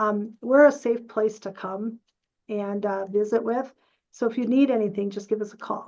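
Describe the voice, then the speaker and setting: This woman has an unremarkable speaking voice, with fairly high pitch, fairly even intonation and a moderate pace. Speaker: parent advocacy organization staff. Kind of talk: casual Q&A; webinar presentation.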